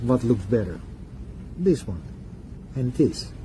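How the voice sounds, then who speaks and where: A man with a non-native accent. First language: not English. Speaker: product reviewer. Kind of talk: product review demonstration. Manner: halting, self-correcting.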